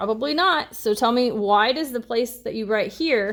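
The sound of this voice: Here is an unforced reading voice. It reads the words aloud.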